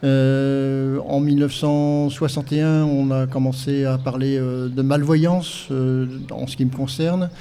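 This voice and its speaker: A man at a very slow pace, fairly high in pitch, with a dark, mellow tone, monotone, flat intonation and audible room echo. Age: 60s. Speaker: blind guide-dog association president. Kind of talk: podcast interview testimony. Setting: live podcast event with audience. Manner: hesitant, many fillers.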